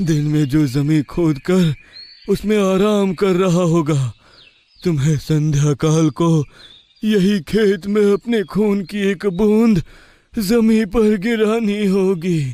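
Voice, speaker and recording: A man's cartoonish character voice, high in pitch, very slow, with ordinary pitch variation. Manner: grave, commanding, instructive.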